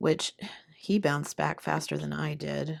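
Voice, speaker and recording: A woman speaks softly. Her pace is fairly slow. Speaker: craft hobby vlogger. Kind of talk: casual crafting chat. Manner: soft-spoken.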